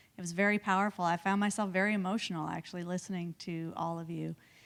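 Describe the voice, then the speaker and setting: Fairly even intonation is heard on a very clean recording with a silent background. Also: woman. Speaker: university provost. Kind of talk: closing remarks. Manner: halting.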